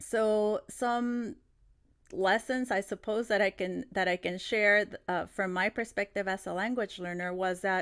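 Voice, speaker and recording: In a Spanish accent, a woman speaks fairly slowly at a medium pitch. Her pitch varies in an ordinary way, and the recording is very clean with a silent background. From Mexico City, Mexico, moved to California as a child. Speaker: teacher trainer. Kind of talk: conference plenary talk. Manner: hesitant, many fillers and restarts.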